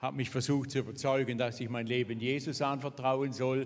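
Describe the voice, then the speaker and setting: Monotone and flat in intonation, a man speaks at medium pitch and a moderate pace. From Switzerland, Thurgau. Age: 70s. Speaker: pastor and Bible school founder. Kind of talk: interview testimony in church service.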